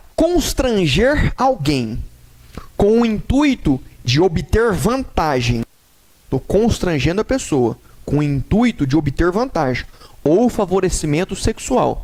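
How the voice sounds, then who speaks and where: This man speaks at a very slow pace with a high pitch and very wide pitch swings. His loudness stays very even. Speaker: law teacher. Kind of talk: lecture.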